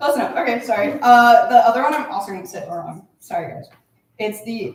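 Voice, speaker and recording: A woman speaks in a high pitch with very wide pitch swings. Room echo can be heard. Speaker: creative writing student, poet. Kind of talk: poetry reading. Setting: stage with audience. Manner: halting.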